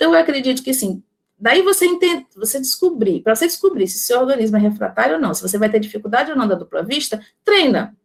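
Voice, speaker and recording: A woman talks at a very fast pace in a fairly high pitch. Her pitch swings very widely. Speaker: spiritist lecturer on magnetism. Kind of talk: lecture. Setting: online talk with chat.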